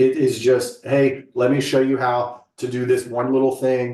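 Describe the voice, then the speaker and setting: With audible room echo, a man's fairly high voice carries a dark, mellow tone. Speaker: staff trainer. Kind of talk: staff training session. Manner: casual.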